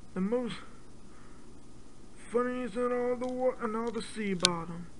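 The speaker puts on a cartoonish character voice at a fairly high pitch, going at a very slow pace. Clear background noise can be heard. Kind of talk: talk show host. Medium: puppet show. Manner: friendly, slightly awkward.

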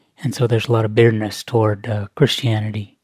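Somewhat breathy male voice at medium pitch, dry and close with no echo, on a very clean recording with a silent background. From Alaska, Kodiak Island. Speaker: Alaska Native storyteller sharing personal testimony. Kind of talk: personal testimony / radio interview story. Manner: conversational, with hesitations and fillers.

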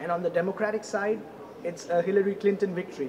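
Noticeable background noise runs through the clip. Over it, a man talks at a high pitch. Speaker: news reporter. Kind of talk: news stand-up report. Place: hall. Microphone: handheld.

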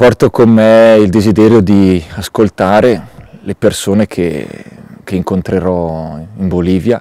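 At a very slow pace, a man with a fairly low pitch and a dark, mellow tone speaks with ordinary pitch variation, the sound dry with no echo over a quiet background. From Italy. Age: 30s. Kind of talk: testimony. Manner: halting, with many hesitations. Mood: calm, reflective. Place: open country.

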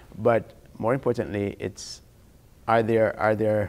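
A man's fairly low voice at a moderate pace. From Jamaica. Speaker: physician-scientist, endocrinologist. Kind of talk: interview. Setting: in-person interview. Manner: hesitant, many fillers and repetitions. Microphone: lapel.

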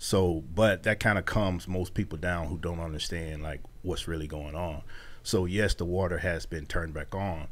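His pitch is very deep and low. The man keeps a moderate pace with fairly even intonation. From Mississippi (McComb); Mississippi. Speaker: non-profit founder and author; radio guest. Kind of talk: casual interview; interview answer. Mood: serious, reflective. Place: studio. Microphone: studio mic.

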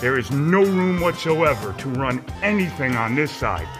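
A man talking at a fairly slow pace over clear music in the background. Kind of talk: casual walkthrough commentary. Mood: enthusiastic. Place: garage. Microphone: phone near.

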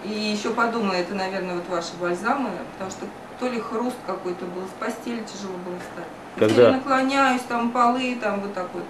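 Noticeable background noise sits behind a woman speaking at a fairly quick pace. Her pitch variation is ordinary, while her loudness swings widely. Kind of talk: interview answer. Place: office. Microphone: camera far.

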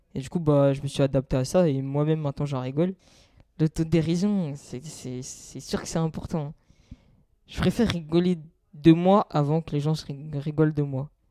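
A man's fairly high voice with a dark, mellow tone moves at a moderate pace with fairly even intonation and big swings in loudness, recorded with a dry, close sound and no echo. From France, Seine-et-Marne. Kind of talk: testimony.

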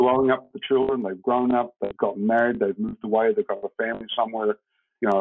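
A man speaks at a fairly quick pace. Behind him, the background stays quiet. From New Zealand. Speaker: hemp home builder, company co-founder; guest. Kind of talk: interview; interview answer. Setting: video call. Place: home room.

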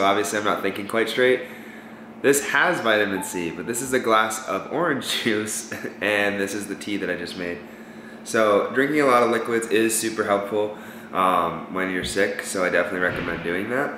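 Fairly quick male speech at a fairly low pitch with ordinary pitch variation, plus audible room echo and light background noise. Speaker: vlogger. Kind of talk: casual vlog chat. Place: kitchen. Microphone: camera far.

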